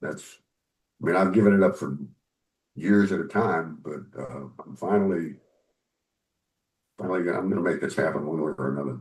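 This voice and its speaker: In a very deep, low pitch, a man talks at a moderate pace with vocal fry and an American accent. His pitch varies an ordinary amount. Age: 70s. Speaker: author and musician. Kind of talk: interview.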